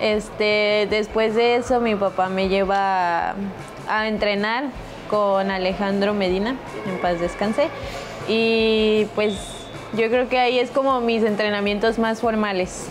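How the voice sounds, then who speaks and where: With clear music in the background, a woman speaks at a fairly slow pace and very even loudness, leaving long, frequent pauses. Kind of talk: interview answer. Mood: cheerful, a bit shy. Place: hall.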